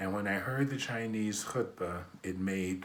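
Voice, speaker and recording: A man with an American accent speaks at a fairly slow pace and a fairly low pitch. His pitch varies in an ordinary way, and room echo is audible. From US Midwest, Detroit, Michigan. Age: 60s. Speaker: imam. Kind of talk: personal testimony.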